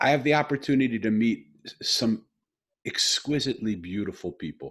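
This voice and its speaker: The man has an ordinary speaking voice, talking at medium pitch and a moderate pace with ordinary pitch variation. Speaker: podcast host. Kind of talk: podcast interview talk.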